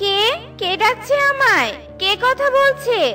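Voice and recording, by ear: A cartoonish character voice with a bright, sharp tone, ordinary pitch variation and a slow pace, over faint music in the background.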